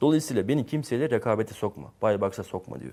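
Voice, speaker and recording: A man's fairly quick speech with ordinary pitch variation, an ordinary speaking voice. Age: 20s. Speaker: software entrepreneur. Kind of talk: interview.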